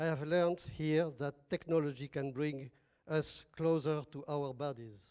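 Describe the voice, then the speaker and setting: A man's fairly high-pitched voice with a French accent, dark, mellow tone, fairly even intonation and fairly slow pace. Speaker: academic partner from a French institution. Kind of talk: formal speech at an event.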